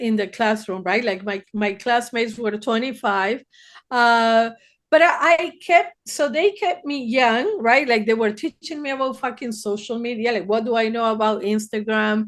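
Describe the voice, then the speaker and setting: A woman talks with a Spanish accent in a fairly high voice. Her intonation is lively, and the background is quiet. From Argentina, Buenos Aires. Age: 60s. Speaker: therapist. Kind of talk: podcast interview.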